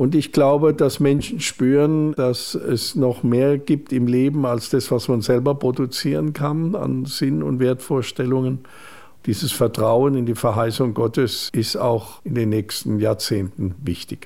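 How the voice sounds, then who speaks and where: A man at a fairly slow pace, medium pitch, and ordinary pitch variation, in a dark, mellow tone. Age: 60s. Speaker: bishop. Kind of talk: radio interview.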